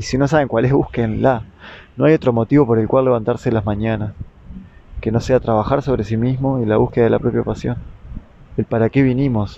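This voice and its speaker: A man's medium-pitched voice with fairly even intonation, a fairly quick pace and long, frequent pauses. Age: 30s. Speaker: podcaster and therapist. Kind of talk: reflective monologue.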